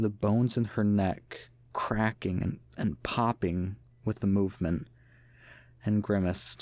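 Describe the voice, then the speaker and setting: Fairly slow and fairly low in pitch, a man uses an ordinary speaking voice with fairly even intonation and very even loudness in a very clean recording with a silent background. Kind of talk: creepypasta narration, first-person horror story reading.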